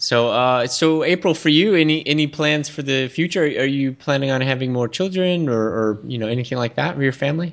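A man with an American accent speaks in an ordinary speaking voice at a fairly high pitch with ordinary pitch variation. He goes at a fairly quick pace with hardly any pauses. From Texas. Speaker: podcast host. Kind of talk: casual interview.

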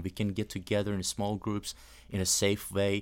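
A man with a Persian accent at a moderate pace and fairly low pitch. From Iran. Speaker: podcast sound engineer and house church leader. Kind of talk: casual interview. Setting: studio.

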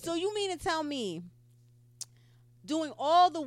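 A woman speaks at a slow pace in a high voice. Her pitch swings widely.

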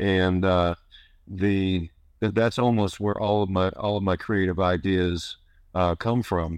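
With an American accent, a man with a fairly low voice speaks at a moderate pace and fairly even intonation over a quiet background. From US Northeast, northern New York. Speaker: author. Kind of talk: radio interview. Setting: phone call. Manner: halting, many repetitions.

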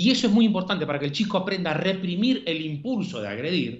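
A man with a Uruguayan accent speaks in a high voice with lively intonation. Room echo can be heard. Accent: Rioplatense Spanish (Uruguayan). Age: 40s. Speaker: psychologist and author. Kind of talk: interview. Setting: phone call. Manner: fast.

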